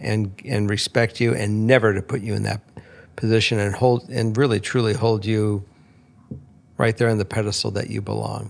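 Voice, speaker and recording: This is a plain, everyday voice delivered at a moderate pace. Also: man. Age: 60s. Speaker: podcast guest. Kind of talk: casual podcast chat.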